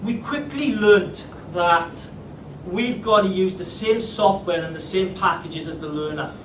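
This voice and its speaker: Over noticeable background noise and audible room echo, a man talks at a fairly slow pace in a high voice, with ordinary pitch variation and big swings in loudness. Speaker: teacher. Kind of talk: presentation.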